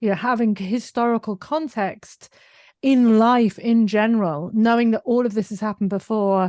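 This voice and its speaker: A woman speaks with a British accent and ordinary pitch variation. The sound is dry and close, with no echo. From UK. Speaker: digital marketing business owner. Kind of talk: podcast interview.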